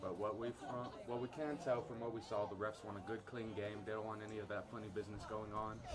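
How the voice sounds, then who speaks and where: A man's fairly low pitch at a very fast pace, over noticeable background noise. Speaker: student sports commentator. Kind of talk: live commentary. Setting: stadium. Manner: animated.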